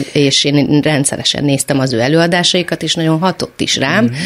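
Speech at a fairly quick pace comes through over noticeable background noise. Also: woman. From Hungary, Szeged. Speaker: choreographer. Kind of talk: radio interview.

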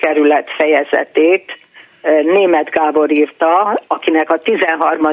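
A woman talks at a very slow pace in a very deep, low pitch with fairly even intonation. Noticeable background noise is present. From Budapest. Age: 70s. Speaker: retired teacher. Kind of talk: casual chat. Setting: phone call.

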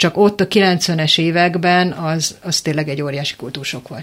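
Amid noticeable background noise, a woman with a fairly low pitch talks at a moderate pace with fairly even intonation. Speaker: panel guest. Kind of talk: radio discussion.

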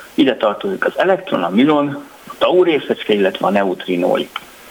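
Over clearly audible background noise, a man keeps to a moderate speaking speed. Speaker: physicist, researcher. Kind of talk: radio interview, explaining science.

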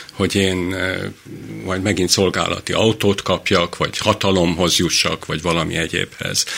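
Over noticeable background noise, a man talks at a moderate pace in a monotone, flat intonation. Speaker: physician. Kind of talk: casual chat. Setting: studio.

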